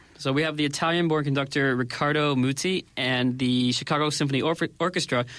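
A plain, everyday voice moves fairly quickly, showing ordinary pitch variation. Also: man. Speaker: expat life consultant. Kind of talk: radio segment chat. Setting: studio.

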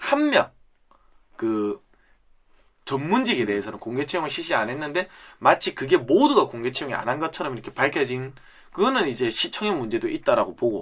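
A man with a Busan accent at a fairly quick pace, against a quiet background. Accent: Busan (Gyeongsang) dialect Korean. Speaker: podcast host. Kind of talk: casual chat.

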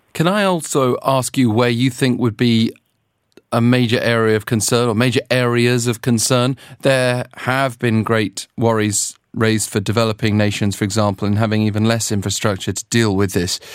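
On a very clean recording with a silent background, a man with a British accent speaks at a moderate pace, medium in pitch and fairly even in intonation. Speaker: news interviewer. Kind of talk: news interview.

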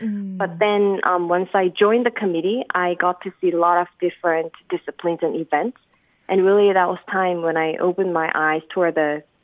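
A woman speaks with a Korean accent. Her intonation is fairly even. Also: medium pitch for a woman, moderate pace. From South Korea. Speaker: government spokesperson. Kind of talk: casual chat. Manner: halting.

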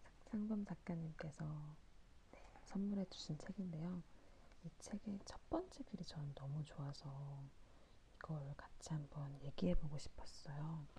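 A woman with a very deep, low pitch and a dark, mellow, somewhat breathy tone speaks at a fairly slow pace with long, frequent pauses and ordinary pitch variation. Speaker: podcast host. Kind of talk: late-night talk monologue. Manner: halting, stumbling over words.

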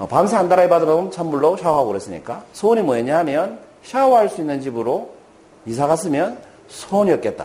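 This man's high-pitched voice moves along at a fairly quick pace. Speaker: motivational speaker, former businessman. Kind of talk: lecture. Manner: conversational, asks rhetorical questions.

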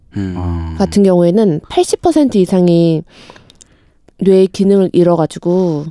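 The sound is dry and close, with no echo. A woman talks at a very slow pace. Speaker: freelance broadcaster, podcast co-host. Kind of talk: casual chat.

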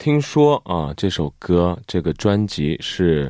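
A Korean accent on a very clean recording, silent in the background, dry and close with no echo. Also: man. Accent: Korean-accented Mandarin. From South Korea. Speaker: actor, radio guest. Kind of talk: casual radio chat. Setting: radio studio.

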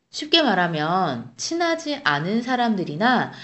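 With audible room echo around her, a woman speaks at a fairly slow pace with very wide pitch swings. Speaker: Korean language podcast co-host. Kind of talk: language lesson chat.

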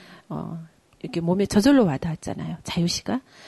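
A soft-spoken, somewhat breathy woman with a dark, mellow tone and lively intonation. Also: dry, close sound with no echo. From Geoje Island, South Korea. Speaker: sijo poet and poetry reciter. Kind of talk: casual chat.

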